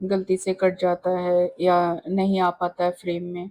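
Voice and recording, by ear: A woman speaks in a fairly low pitch with little pitch movement. Her tone is slightly mellow.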